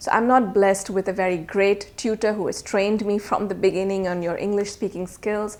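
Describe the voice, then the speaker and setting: A woman with a non-native accent talks at a medium pitch. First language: not English. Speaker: IELTS teacher. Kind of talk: tutorial. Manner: casual.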